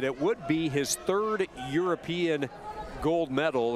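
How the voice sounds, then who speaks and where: A man's fairly high voice with ordinary pitch variation at a very slow pace, over noticeable background noise. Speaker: wrestling commentator. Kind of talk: live sports commentary. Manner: knowledgeable, giving background on athletes.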